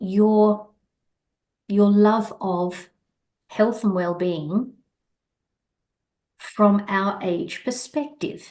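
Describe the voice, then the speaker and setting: A woman with an Australian accent, at a very slow pace, with ordinary pitch variation. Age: 60s. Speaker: podcast host. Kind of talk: casual interview chat.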